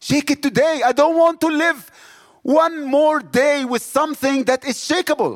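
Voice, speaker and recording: Recorded very cleanly against a silent background in a dry, close sound with no echo, a man with an Egyptian accent and an extremely high pitch speaks in an animated tone at a moderate pace with ordinary pitch variation. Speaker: missionary. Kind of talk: sermon.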